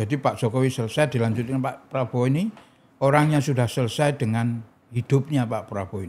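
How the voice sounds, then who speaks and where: This man talks at a very fast pace, his medium-pitched voice somewhat breathy. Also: ordinary pitch variation. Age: 60s. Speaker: political figure and foundation founder. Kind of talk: podcast interview.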